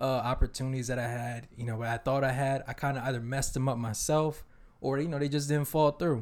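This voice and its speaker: With an American accent, a man speaks at a very fast pace. His intonation is fairly even, and the recording is very clean with a silent background. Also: medium pitch for a man. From Eritrean family, US-raised. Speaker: podcast co-host. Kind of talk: casual chat.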